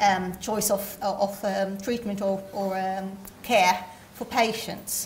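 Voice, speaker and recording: Light background noise sits behind speech delivered at a very slow pace. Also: woman. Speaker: conference presenter. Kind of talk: lecture. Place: hall. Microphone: podium.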